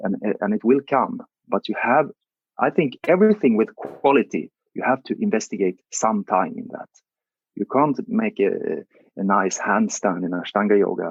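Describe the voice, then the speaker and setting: Swinging very widely in pitch, a man talks at a moderate pace from a medium pitch. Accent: Swedish. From southern Sweden (Karlshamn, Blekinge). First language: Swedish. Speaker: meditation and yoga teacher. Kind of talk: interview. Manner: halting.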